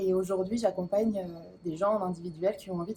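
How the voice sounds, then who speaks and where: At a moderate pace, a woman speaks in a somewhat breathy voice of medium pitch. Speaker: spiritual coach. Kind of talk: interview answer. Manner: hesitant, enthusiastic.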